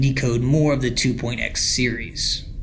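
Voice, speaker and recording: A man's voice, pitched in the middle range, comes through with music behind it. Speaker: online mystery investigator. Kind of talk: analysis video narration.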